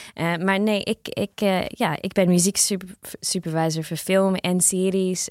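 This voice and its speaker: This woman talks at a fairly slow pace with a non-native accent, her pitch fairly low. The recording is very clean, with a silent background. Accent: non-native Dutch, noticeable. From Australia. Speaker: music supervisor. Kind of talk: interview. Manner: halting, many fillers.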